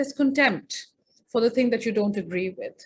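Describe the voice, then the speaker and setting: A woman talks at a fairly quick pace in a fairly high pitch with ordinary pitch variation. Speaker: feminist filmmaker and speaker. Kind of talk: presentation. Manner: fast.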